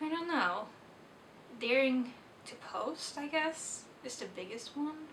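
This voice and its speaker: In a Swedish accent, the speaker goes very slowly with long, frequent pauses, lively intonation and big swings in loudness, amid audible room echo and noticeable background noise. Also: woman, high pitch for a woman. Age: 20s. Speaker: book vlogger. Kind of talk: casual vlog monologue. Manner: halting.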